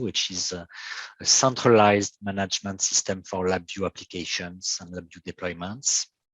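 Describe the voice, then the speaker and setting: A man with a French accent, fairly low in pitch, at a moderate pace. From France. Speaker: software engineer and company founder. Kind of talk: technical presentation. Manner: halting.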